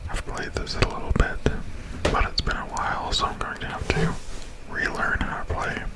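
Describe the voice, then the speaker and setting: A whispering man over noticeable background noise. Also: moderate pace. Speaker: ASMR gaming YouTuber. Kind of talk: casual gameplay commentary. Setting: studio, recorded with a Blue Yeti Blackout microphone. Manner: relaxed, low-key.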